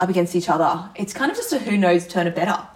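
A woman with an Australian accent talks at a very fast pace in a medium pitch, with noticeable background noise behind her. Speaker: podcast co-host, netball player. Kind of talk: casual chat. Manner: animated.

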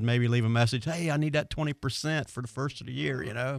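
At a fairly quick pace, a man speaks in a plain, everyday voice with ordinary pitch variation. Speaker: marine service instructor and show expert. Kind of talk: call-in radio show chat. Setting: radio studio.

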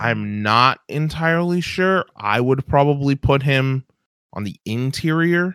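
A man's normal speaking voice with lively intonation at a fairly slow pace. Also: fairly high pitch for a man. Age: 30s. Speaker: sports podcast co-host. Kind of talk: casual chat.

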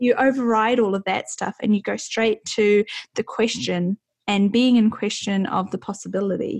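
With a New Zealand accent, the speaker sounds enthusiastic in a dry, close recording with no echo. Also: woman, fairly high pitch for a woman, moderate pace. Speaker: podcast host. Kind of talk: interview.

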